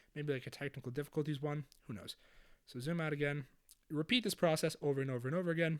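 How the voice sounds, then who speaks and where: A man talks at a fairly quick pace in a fairly high pitch. His tone is energetic. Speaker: video editing youtuber. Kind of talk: tutorial. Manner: casual, energetic.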